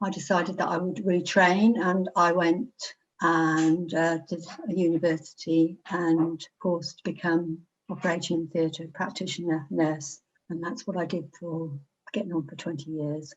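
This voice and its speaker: In an English accent, a woman speaks at a fairly slow pace with fairly even intonation and big swings in loudness. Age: 70s. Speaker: retired theatre nurse. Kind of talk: interview testimony.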